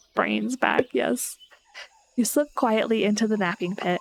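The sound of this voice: The text is read in an unforced reading voice.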